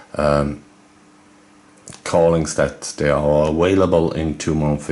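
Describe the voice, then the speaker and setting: A man with a German accent and a very deep, low pitch speaks at a very slow pace. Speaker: video game YouTuber. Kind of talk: casual video commentary. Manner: halting, many fillers.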